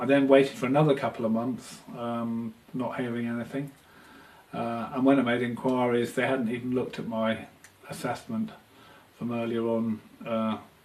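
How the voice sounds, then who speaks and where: A man speaks at medium pitch and a moderate pace in a monotone, flat intonation. Noticeable background noise runs underneath. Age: 50s. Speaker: photographer with multiple sclerosis. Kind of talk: testimony. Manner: halting, many fillers.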